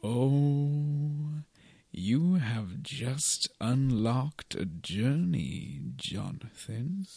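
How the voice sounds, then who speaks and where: Lively intonation marks this man's medium-pitched speech. He talks at a very slow pace. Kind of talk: comic overacting. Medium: comedy sketch. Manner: grandiose, theatrical, teasing.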